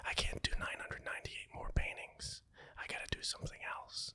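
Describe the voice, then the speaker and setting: A man whispering at a fairly quick pace. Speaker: artist, voice actor. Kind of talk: interview answer. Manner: whispered.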